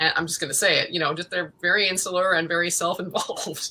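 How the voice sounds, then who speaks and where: A woman with a Midwestern accent, bright, sharp tone and fairly low pitch, at a fairly quick pace. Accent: American, Midwestern-sounding. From Central America, North Africa, Middle East and Connecticut. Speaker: actress and writer. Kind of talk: interview conversation. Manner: animated.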